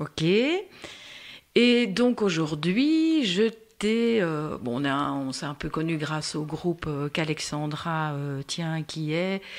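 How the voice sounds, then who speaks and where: A woman talks with a very deep, low-pitched voice and lively intonation. Her pace is very slow. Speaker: podcast host, patient expert for diabetes. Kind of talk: casual interview. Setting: recorded podcast.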